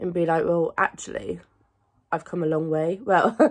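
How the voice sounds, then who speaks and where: A woman speaks at a moderate pace with a quiet background around her. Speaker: lifestyle vlogger. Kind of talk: casual vlog chat. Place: home room. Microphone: phone near.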